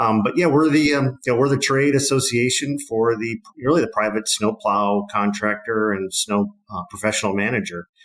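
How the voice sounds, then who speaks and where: A man speaks at a medium pitch with a Wisconsin accent. His pace is moderate, with ordinary pitch variation and hardly any pauses. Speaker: trade association CEO. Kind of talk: podcast interview. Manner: casual, many fillers.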